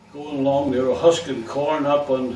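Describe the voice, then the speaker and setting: The speech is monotone with flat intonation, and there is noticeable background noise. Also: man. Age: 80s+. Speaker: retired barber. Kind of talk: life story told to family. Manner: rambling, halting.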